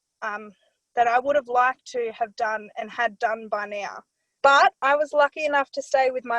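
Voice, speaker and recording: A woman with an Australian accent speaks at a moderate pace in a high voice with ordinary pitch variation, recorded dry and close with no echo. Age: 20s. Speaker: care leaver, young consultant. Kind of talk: personal testimony in a webinar. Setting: webinar.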